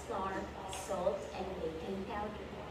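A woman speaks at a very slow pace. Loud background noise and audible room echo fill the recording. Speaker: presenter. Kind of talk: tutorial. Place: kitchen. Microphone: camera far.

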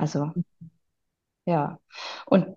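A woman speaks in a somewhat breathy voice. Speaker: interview guest sharing life story. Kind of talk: personal testimony.

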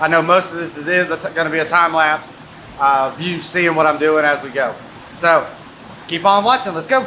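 This man's voice sits high, with ordinary pitch variation. His loudness swings widely over light background noise. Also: moderate pace. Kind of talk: casual vlog chat. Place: workshop. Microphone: phone near.

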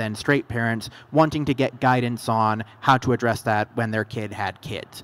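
The intonation stays fairly even as this man talks. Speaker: guest. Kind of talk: interview answer. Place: stage.

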